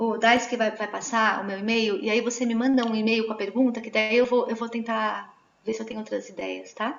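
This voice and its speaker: A woman's fairly high voice, flat and monotone, at a fairly quick pace. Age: 40s. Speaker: Waldorf educator. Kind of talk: online talk answering questions.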